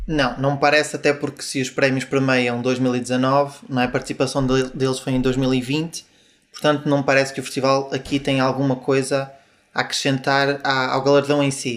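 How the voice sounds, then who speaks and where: Flat and monotone, a man speaks at a medium pitch and a moderate pace. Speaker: music website editor. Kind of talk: panel discussion.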